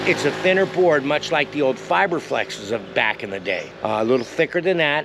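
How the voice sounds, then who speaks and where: A man talks at a fairly quick pace with hardly any pauses. Noticeable background noise is present. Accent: American. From US West Coast, San Diego. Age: 60s. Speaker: skateboard reviewer. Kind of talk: product review vlog. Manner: casual, rambling with filler words.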